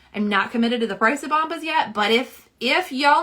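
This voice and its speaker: A woman speaks in a fairly high pitch with a slight Southern US accent. Her pace is fairly quick. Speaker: nail polish swatcher and live streamer. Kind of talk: casual live-stream chat. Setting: live stream at home. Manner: chatty, many fillers.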